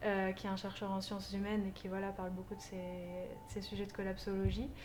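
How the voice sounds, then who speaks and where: The speaker is a woman. Her voice carries audible room echo, with noticeable background noise as well. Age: 20s. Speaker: community organizer. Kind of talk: interview.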